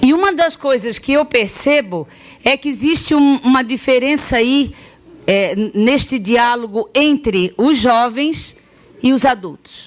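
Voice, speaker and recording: Lively intonation at a fairly slow pace. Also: woman, high pitch for a woman, very even loudness. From Florianópolis, Santa Catarina, southern Brazil. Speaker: sex education specialist, pedagogue. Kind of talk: public talk with audience interaction. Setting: talk to parents, students and teachers. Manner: hesitant, many fillers and restarts.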